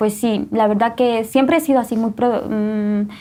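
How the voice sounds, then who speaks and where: A woman is speaking in a fairly high pitch. Hers is an unremarkable speaking voice. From Guatemala. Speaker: testimony guest. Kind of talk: testimony.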